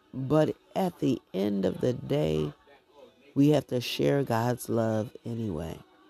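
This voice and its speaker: A woman's very deep, low voice with very wide pitch swings at a very slow pace, dry and close with no echo, over background music. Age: 50s. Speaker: prayer podcast host. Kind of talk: prayer; devotional monologue.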